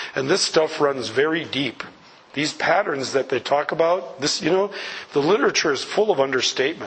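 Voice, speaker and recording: Noticeable background noise sits behind a man with a fairly high pitch. He talks at a fairly quick pace with lively intonation. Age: 60s. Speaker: recovery speaker. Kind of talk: talk to audience. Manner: animated.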